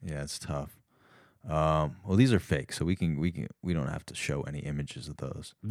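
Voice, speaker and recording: Speaking with an American accent, a man shows vocal fry and ordinary pitch variation at a very deep, low pitch. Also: moderate pace. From New York, Westchester. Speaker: comedian. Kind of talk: comedy sketch; casual chat.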